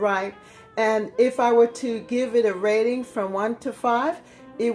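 Soft music is faintly heard behind the voice. It belongs to a woman. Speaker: home gardener vlogger. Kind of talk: casual vlog chat. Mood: amused, mildly disappointed. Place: kitchen. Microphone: phone near.

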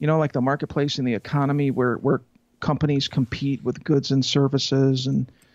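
Over a quiet background, a man speaks with monotone, flat intonation in a dry sound with no echo. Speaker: interview guest. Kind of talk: interview answer. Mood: amused then thoughtful. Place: home room. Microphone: handheld.

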